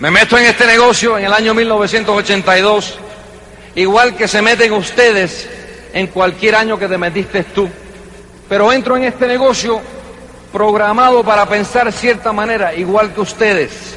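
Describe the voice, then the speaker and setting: A man's raised, projected voice, high in pitch, fairly slow and fairly even in intonation, over noticeable background noise. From New York, Cuban-American family. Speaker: network marketing leader. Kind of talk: motivational speech. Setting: convention stage with audience.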